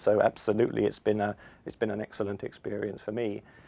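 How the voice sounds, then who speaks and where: This man's pitch is fairly low. His intonation stays monotone and flat. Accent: southern English. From London, England. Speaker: university lecturer. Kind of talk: interview.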